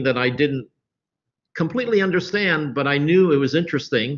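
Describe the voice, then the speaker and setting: A man speaks with an ordinary speaking voice. His pitch is fairly high and his intonation lively. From US Midwest, Columbus, Ohio. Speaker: creative director. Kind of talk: interview.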